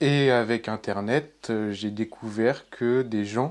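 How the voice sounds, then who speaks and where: A man's fairly low-pitched, very slow speech with fairly even intonation against a quiet background. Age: 20s. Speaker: cosplayer and mask maker. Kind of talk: interview. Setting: his workshop. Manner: hesitant, many fillers.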